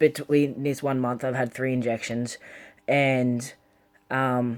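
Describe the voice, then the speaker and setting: At a very slow pace, a man with a medium pitch speaks in a monotone, flat intonation. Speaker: vlogger. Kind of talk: casual vlog update. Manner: hesitant, many ums.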